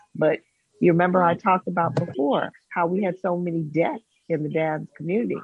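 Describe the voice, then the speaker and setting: Using a normal speaking voice, a woman with a fairly low pitch speaks at a moderate pace with ordinary pitch variation. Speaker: professor. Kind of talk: talk radio discussion. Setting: video call.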